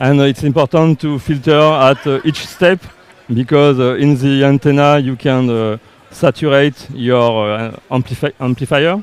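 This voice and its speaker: A man with a French accent speaks fairly slowly at a fairly high pitch. His intonation is fairly even, and the sound is dry with no echo. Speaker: company representative presenting RF products. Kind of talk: live product demo interview. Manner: halting, uncertain English. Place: hall. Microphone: headset.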